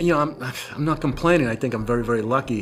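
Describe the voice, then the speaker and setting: Music playing behind a male speaker, his pitch varying in an ordinary way. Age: 70s. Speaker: war veteran. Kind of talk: interview testimony. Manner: casual, halting with fillers.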